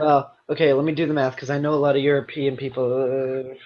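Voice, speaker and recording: A man with an American accent talks at a fairly quick pace and a fairly high pitch. He has a plain, everyday voice. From United States. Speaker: gaming show host. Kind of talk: casual chat.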